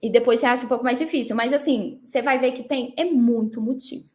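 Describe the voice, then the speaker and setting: Fairly quick, high-pitched speech from a woman with fairly even intonation, on a very clean recording with a silent background. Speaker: online mindset coach. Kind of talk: live stream talk. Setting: live stream.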